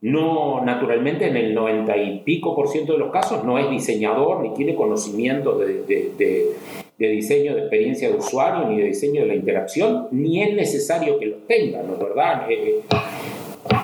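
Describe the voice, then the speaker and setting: The speech runs at a moderate pace with hardly any pauses, with audible room echo and noticeable background noise. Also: man. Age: 50s. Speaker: usability consultant. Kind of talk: casual interview. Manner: halting, many repetitions.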